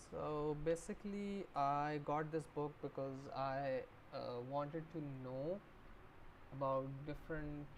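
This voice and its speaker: A woman with a non-native accent and very deep, low pitch, very slow and fairly even, with long, frequent pauses. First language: not English. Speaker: book streamer. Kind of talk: livestream book discussion. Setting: live stream. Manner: halting, many fillers.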